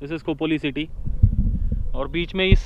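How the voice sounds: The speaker is a man. He keeps a moderate pace and fairly even intonation.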